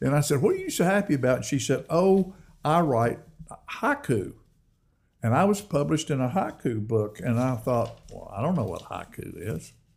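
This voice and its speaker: A man with a fairly high pitch and vocal fry speaks at a moderate pace. His pitch swings very widely. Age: 70s. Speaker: songwriter, poet and TV host. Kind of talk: casual interview, storytelling, poetry reading.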